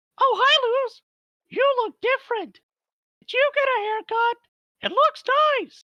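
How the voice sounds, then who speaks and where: An extremely high, squeaky put-on character voice speaks at a moderate pace. Long pauses come often. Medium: read story.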